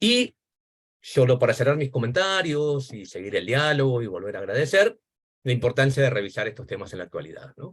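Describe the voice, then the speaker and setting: A man talks at a fairly quick pace in a somewhat breathy, fairly high voice. His pitch swings very widely and his loudness shifts in big swings. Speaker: academic discussant, education historian. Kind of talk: academic seminar commentary. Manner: fast.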